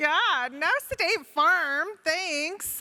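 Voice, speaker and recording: This woman uses a raised, projected voice. Her intonation is lively. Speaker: federal health official. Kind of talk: keynote speech. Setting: stage with audience. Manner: animated.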